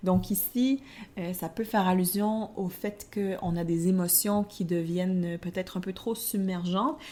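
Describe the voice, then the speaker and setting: A woman with a Quebec accent speaks at a fairly slow pace in a dark, mellow tone with ordinary pitch variation. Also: medium pitch for a woman. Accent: Québécois. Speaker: tarot podcast co-host. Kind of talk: casual podcast discussion.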